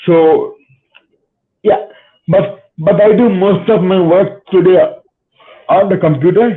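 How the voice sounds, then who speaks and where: Pitched high, a man speaks at a very slow pace. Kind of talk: interview. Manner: slow, deliberate speech; halting, with repetitions.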